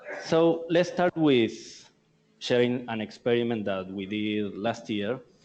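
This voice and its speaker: Lively in intonation, a man speaks at a very slow pace and a medium pitch. He has an Argentinian accent. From Argentina. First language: Spanish. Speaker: tech company marketing speaker. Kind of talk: conference presentation. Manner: halting.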